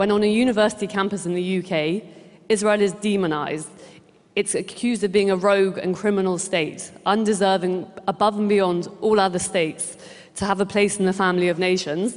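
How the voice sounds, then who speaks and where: Delivered in a British accent, the speech runs at a fairly quick pace with fairly even intonation. The tone is passionate. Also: woman, medium pitch for a woman. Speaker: director of an advocacy group. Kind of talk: conference speech. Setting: stage with audience.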